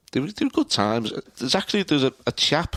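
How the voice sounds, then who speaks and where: A man with a Liverpool accent in a dry, close sound with no echo. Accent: Scouse. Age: 60s. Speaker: retired local politician and author. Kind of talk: casual interview. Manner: halting, frequent repetitions.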